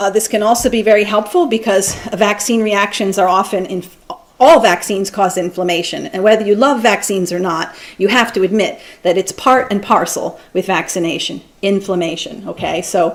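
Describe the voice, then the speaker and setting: This is a woman speaking. Her pitch is medium, with ordinary variation. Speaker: physician and lecturer. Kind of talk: lecture. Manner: fast.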